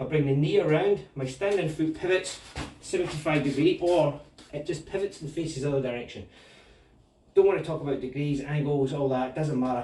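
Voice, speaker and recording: There is noticeable background noise as a man with a Scottish accent speaks at a fairly quick pace in a fairly high pitch. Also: ordinary pitch variation. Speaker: martial arts instructor. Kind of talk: tutorial. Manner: casual.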